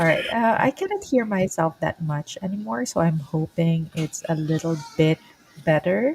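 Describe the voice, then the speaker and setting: Recorded dry and close with no echo but with noticeable background noise, a woman with a fairly low pitch speaks with lively intonation. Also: moderate pace. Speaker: podcast host. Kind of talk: casual chat. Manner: loud.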